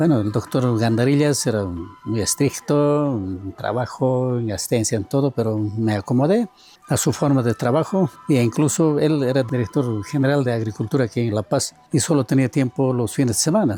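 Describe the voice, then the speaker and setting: Music in the background behind a man's moderately paced speech, ordinary in pitch variation. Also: medium pitch for a man. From Bolivian Altiplano, rural Oruro. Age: 70s. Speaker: agronomist and university professor. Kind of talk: interview testimony. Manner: halting, with self-corrections.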